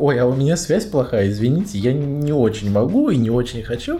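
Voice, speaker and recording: Amid noticeable background noise and audible room echo, a man speaks at a medium pitch with very wide pitch swings. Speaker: podcast host. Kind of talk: casual chat. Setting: bedroom at night, lights off. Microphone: laptop mic placed on a bed.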